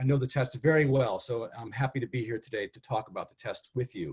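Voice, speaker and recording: The speaker is a man. There is some breathiness in his voice. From US Northeast, Connecticut. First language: Spanish. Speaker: test development expert. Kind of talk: webinar presentation. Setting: video call. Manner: hesitant, many fillers.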